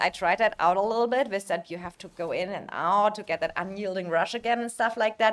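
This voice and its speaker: A woman with a German accent speaks at a fairly quick pace in a fairly high pitch. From Germany. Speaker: video game streamer. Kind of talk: live stream commentary. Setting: live stream. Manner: hesitant, many fillers.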